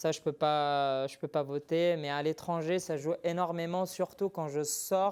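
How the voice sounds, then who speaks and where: A man with a slight non-native accent talks in a flat monotone at a fairly high pitch. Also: very clean recording, silent background. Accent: slight foreign accent in French. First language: not French (speaking French). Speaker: MMA fighter. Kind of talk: TV interview. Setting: TV studio. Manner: hesitant.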